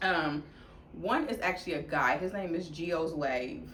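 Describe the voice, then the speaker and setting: Audible room echo surrounds a woman's voice. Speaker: fashion vlogger. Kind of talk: casual chat. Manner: loud; animated.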